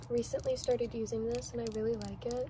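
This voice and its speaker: A woman speaks softly. Noticeable background noise sits behind her. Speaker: beauty vlogger. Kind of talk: soft-spoken get-ready-with-me makeup talk. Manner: soft-spoken. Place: home room. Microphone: webcam.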